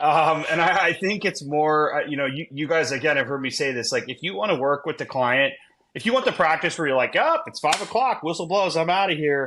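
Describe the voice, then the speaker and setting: An ordinary speaking voice moves at a fairly quick pace with hardly any pauses and ordinary pitch variation. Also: man, fairly high pitch for a man. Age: 40s. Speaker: venture law attorney. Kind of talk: casual podcast conversation.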